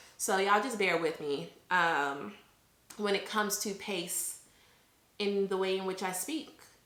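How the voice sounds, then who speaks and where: Amid noticeable background noise and audible room echo, a woman speaks at a fairly slow pace with long, frequent pauses. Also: medium pitch for a woman, ordinary pitch variation. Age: 20s. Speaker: vlogger. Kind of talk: casual chat. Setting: home recording to camera.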